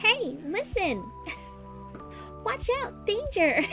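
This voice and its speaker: Clear music plays behind a woman doing a put-on character voice at an extremely high pitch. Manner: urgent, calling out.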